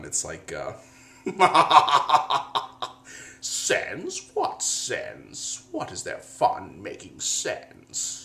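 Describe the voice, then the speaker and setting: A man puts on a cartoonish character voice at an extremely high pitch. He sounds playful and speaks at a very slow pace. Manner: playful, mocking, with laughs.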